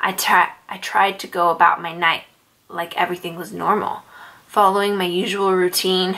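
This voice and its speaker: A woman talks with fairly even intonation, keeping a moderate pace. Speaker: storyteller. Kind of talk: scary story narration. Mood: soft, tense, somber. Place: home room.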